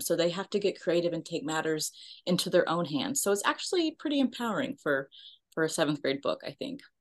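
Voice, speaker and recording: A woman with an American accent speaks fairly quickly against a quiet background. Her fairly low voice swings very widely in pitch. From Texas, Richardson. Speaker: nonprofit founder. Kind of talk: interview.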